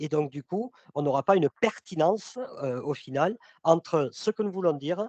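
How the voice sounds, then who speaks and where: A man at a moderate pace with lively intonation. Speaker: sales consultant and trainer. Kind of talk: webinar presentation. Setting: online webinar. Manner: loud. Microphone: mic too close, speaker moved it away.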